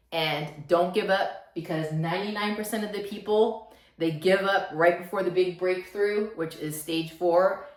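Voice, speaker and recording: In a room with audible echo, a woman of medium pitch speaks at a moderate pace with fairly even intonation. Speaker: self-help vlogger. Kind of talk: motivational talk to camera. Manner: slightly halting, stuttering.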